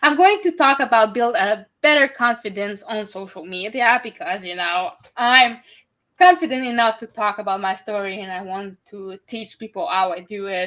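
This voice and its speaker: On a very clean recording with a silent background, a woman with a Quebec accent speaks at a moderate pace, her fairly high voice bright and sharp, with lively intonation and big swings in loudness. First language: French. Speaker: podcast host and neurodiversity advocate. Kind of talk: interview.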